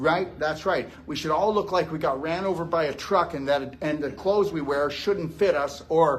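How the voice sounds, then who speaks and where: The speaker has an American accent and an animated tone, moving at a moderate pace with ordinary pitch variation. Audible room echo surrounds the voice. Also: man. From Texas. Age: 60s. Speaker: health lecturer. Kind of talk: live lecture. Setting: stage with audience at a gym. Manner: animated, conversational.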